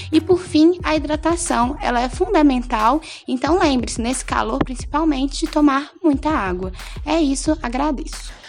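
Against noticeable background noise, a woman with a high voice talks at a moderate pace. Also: ordinary pitch variation. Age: 20s. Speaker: nursing student. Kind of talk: health advice on local radio. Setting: radio studio.

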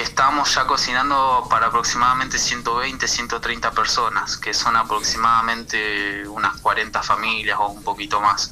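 A man speaking at a fairly slow pace with hardly any pauses, music in the background. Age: 20s. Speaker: community kitchen organizer. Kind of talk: radio interview. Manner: halting.

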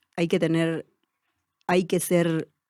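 Her voice sits fairly low for a woman. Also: very clean recording, silent background. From Argentina, Tartagal (Salta), Sachapera community. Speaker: teacher-training student and community educator. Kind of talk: interview. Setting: studio.

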